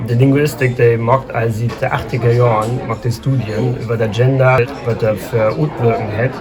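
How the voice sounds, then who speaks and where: A moderate pace and fairly even intonation, plus noticeable background noise and audible room echo. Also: man. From northern Germany, Schleswig-Holstein near Hamburg. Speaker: linguist, Low German speaker. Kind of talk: casual interview. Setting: café.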